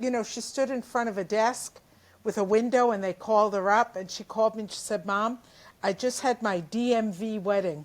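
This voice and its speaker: Fairly high-pitched and fairly quick, a woman speaks with a New Jersey accent. The recording is very clean, with a silent background. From New Jersey, Jersey City. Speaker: comedian. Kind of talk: interview. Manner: animated.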